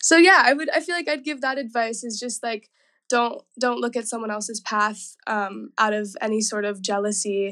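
Here a woman with an American accent has an ordinary speaking voice at a fairly high pitch. She keeps a moderate pace against a quiet background. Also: ordinary pitch variation. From US South, Nashville. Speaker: pop-soul singer. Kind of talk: interview.

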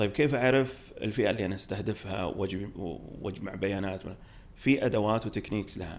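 With an unremarkable speaking voice, a man talks at a fairly slow pace in a fairly low pitch with ordinary pitch variation. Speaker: startup studio executive. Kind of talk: podcast interview.

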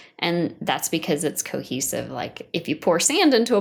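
In a very clean recording with a silent background, a woman with an American accent speaks at a moderate pace and a fairly low pitch. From US Pacific Northwest (Washington State). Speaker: planetary science researcher. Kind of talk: interview. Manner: hesitant, many fillers.

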